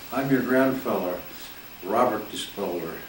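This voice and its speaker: Audible room echo and noticeable background noise surround a man with an Upper Midwest accent whose pitch varies in an ordinary way. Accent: Upper Midwest American. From Michigan, Detroit area. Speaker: grandfather telling life stories. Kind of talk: storytelling. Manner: halting, many repetitions.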